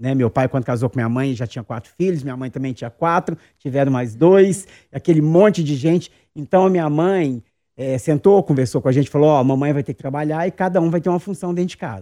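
At a very fast pace, a man speaks in a dark, mellow tone at a fairly high pitch, the sound dry and close with no echo. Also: ordinary pitch variation. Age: 50s. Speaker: actor and drag queen. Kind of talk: interview.

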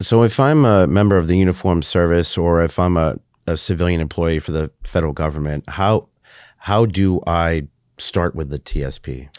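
Recorded very cleanly against a silent background with a dry, close sound and no echo, a man with an American accent speaks at a moderate pace in a very deep, low pitch with ordinary pitch variation. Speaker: podcast host and Marine Corps veteran. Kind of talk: interview.

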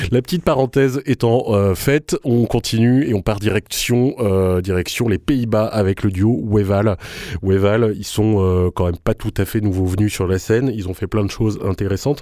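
With a dark, mellow tone, a man delivers his words at a moderate pace. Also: fairly low pitch for a man, ordinary pitch variation. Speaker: radio host. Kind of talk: radio show. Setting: studio.

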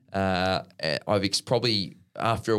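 Recorded very cleanly against a silent background, a man talks at a fairly low pitch with monotone, flat intonation. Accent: Australian. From Australia. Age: 30s. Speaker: professional tennis player. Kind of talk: interview.

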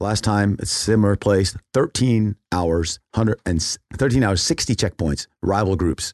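A man with a plain, everyday voice and fairly low pitch keeps a moderate pace with hardly any pauses and ordinary pitch variation, recorded dry and close with no echo against a quiet background. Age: 50s. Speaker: founder of a frontline relief organization. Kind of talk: interview.

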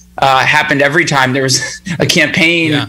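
Background noise is clearly noticeable. The words come out very quickly. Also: man. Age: 30s. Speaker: union organizer. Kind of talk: casual interview.

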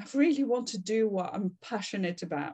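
A somewhat breathy woman's voice at a fairly quick pace, with ordinary pitch variation. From France. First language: French. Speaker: customer experience consultant. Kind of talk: interview.

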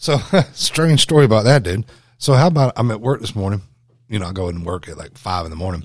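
At a very fast pace, a man with a Southern US accent talks with very wide pitch swings and big swings in loudness. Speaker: podcast co-host, wilderness survival instructor. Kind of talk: casual, profane.

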